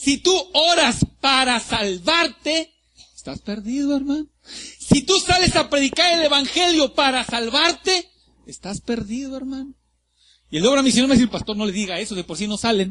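This man talks at a moderate pace in an extremely high pitch, his voice raised and projected with a bright, sharp tone. His intonation is lively and his loudness swings widely. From Mexico, Ciudad Madero, Tamaulipas. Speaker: pastor. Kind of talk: sermon. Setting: church. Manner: animated.

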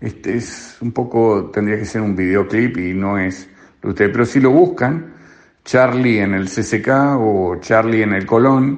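A man talks fairly slowly in a fairly low voice with ordinary pitch variation. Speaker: radio columnist. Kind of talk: radio commentary. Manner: halting, repeats words.

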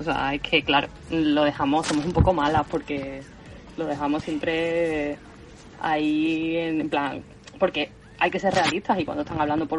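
Speaking with an Andalusian accent, a woman has a very deep, low pitch. Her intonation is monotone and flat. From Spain, Seville (Andalusia). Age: 20s. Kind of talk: casual chat.

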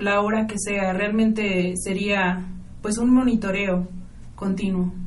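The speaker is a woman, talking at a fairly slow pace. Her voice has audible room echo. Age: 20s. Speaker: startup founder. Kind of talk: radio interview.

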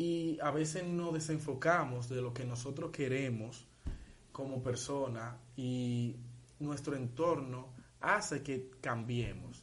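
Audible room echo surrounds a man speaking at a very slow pace. His pitch is medium, with ordinary variation. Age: 19. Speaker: podcast co-host. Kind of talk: casual chat.

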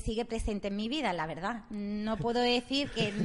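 A woman speaks at a moderate pace, her pitch fairly high. She has an unremarkable speaking voice. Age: 40s. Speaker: radio co-host, shop worker. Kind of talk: casual chat.

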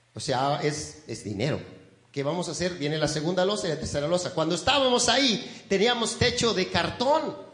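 A man with a warm tone talks at a moderate pace, his pitch swinging very widely, over noticeable background noise. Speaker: pastor. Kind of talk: sermon. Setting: church. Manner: warm, folksy and conversational, pausing and repeating words; earnest, exhorting the congregation.

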